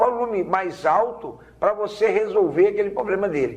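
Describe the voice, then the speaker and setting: At a moderate pace, this man talks while noticeable background noise fills the recording. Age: 60s. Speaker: vehicle documentation agent. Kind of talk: TV interview.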